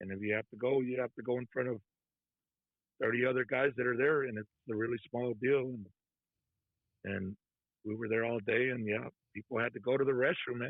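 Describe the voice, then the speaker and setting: With an American accent, a man speaks at a medium pitch and a fairly quick pace, his intonation fairly even, broken by long, frequent pauses. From Texas. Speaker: trucker, former prisoner. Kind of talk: interview testimony. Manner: soft-spoken; casual, conversational.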